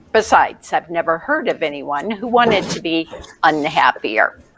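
Her pitch swings very widely as this woman speaks at a very slow pace. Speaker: show host, life coach. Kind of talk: show introduction monologue. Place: home room. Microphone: webcam.

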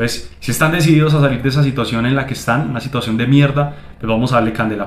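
A man talks with ordinary pitch variation, and some room echo can be heard. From Colombia. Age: 20s. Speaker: digital marketing agency owner, YouTuber; YouTuber. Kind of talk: motivational vlog monologue. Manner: animated. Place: home room. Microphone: phone near.

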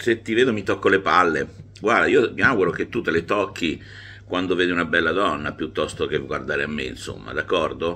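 Bright and sharp in tone, a man speaks at a moderate pace with lively intonation. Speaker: YouTube sports commentator. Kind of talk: angry rant against referees, sarcastic tirade; informal monologue to camera. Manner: indignant, sarcastic, emphatic, repetitive. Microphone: phone near.

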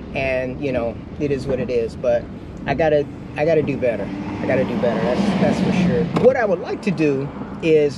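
Over loud background noise, a man talks at a fairly quick pace with a dry sound and no echo. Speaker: vlogger. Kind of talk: casual vlog chat. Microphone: camera far.

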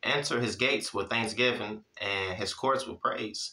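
Speaking at a moderate pace, a man has a bright, sharp tone. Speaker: Bible teacher. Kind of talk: Bible teaching with casual chat. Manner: casual, conversational, encouraging. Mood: calm, devotional. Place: home room.

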